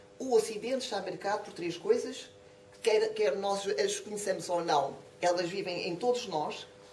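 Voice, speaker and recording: A woman with a European Portuguese accent speaks at a fairly high pitch with ordinary variation. Audible room echo and noticeable background noise surround her. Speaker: professor of philosophy, lecturer. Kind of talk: lecture. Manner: fast.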